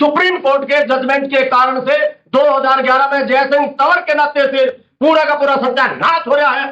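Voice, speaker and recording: A man speaks at an extremely high pitch. His intonation is monotone and flat, and his loudness stays very even. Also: moderate pace. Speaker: farmer activist. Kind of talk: panel discussion. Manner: loud, forceful.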